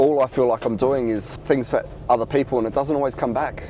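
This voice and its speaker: Noticeable background noise sits behind a man speaking in an Australian accent. He talks at a fairly quick pace with fairly even intonation. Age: 40s. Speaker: reseller. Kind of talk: casual talk to camera.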